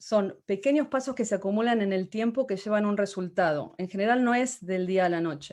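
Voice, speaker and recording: Against a quiet background, a woman with a Spanish accent talks at a fairly high pitch with ordinary pitch variation. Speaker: motivational speaker. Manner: halting.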